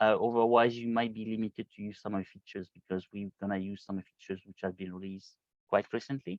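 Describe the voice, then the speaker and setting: A man with a French accent. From France. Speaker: solution engineer. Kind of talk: hands-on tutorial webinar. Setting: video call. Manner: halting, many fillers.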